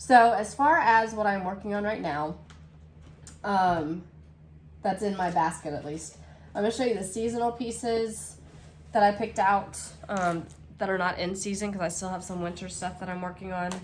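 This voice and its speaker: The speech runs at a moderate pace with long, frequent pauses and ordinary pitch variation. Room echo is audible. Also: woman, medium pitch for a woman. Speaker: cross stitch vlogger. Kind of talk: casual craft vlog. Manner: hesitant, many fillers.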